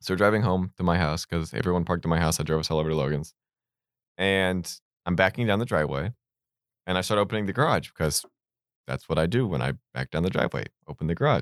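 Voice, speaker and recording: Very deep and low in pitch with vocal fry, a man talks at a very fast pace with ordinary pitch variation and long, frequent pauses, the sound dry and close with no echo in a very clean recording with a silent background. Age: 20s. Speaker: podcast co-host. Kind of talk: casual banter. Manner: joking, interrupts often.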